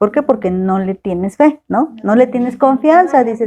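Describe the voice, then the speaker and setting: This woman's dark, mellow tone comes at a moderate pace, its pitch varying in an ordinary way. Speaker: Bible teacher. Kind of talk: Bible study lecture.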